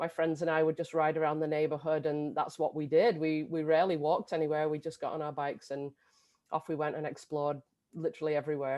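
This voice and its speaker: A woman's very deep, low voice, very fast and monotone, with flat intonation. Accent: English. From England. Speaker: bike education director. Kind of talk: video interview.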